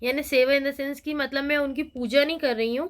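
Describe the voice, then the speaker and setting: Her intonation stays fairly even. The woman is heard in a very clean recording with a silent background. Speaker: vlogger. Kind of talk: casual vlog talk.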